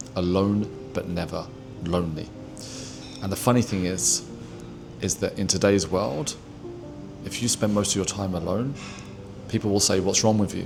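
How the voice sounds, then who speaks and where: Over music in the background, a man with a very deep, low pitch and lively intonation speaks at a moderate pace, leaving long, frequent pauses. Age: 40s. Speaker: mindset content creator. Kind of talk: casual talk to camera.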